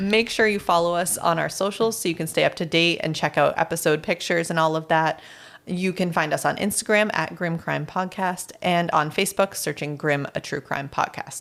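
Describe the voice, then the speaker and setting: In a raspy, put-on character voice, the speaker goes at a moderate pace with hardly any pauses. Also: woman, fairly low pitch for a woman. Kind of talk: podcast outro. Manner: talking very fast.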